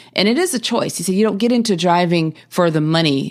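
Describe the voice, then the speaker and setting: A woman with an American accent, a fairly quick pace and ordinary pitch variation. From US South. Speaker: podcast host. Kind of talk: podcast introduction monologue. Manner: casual with frequent fillers and repetitions.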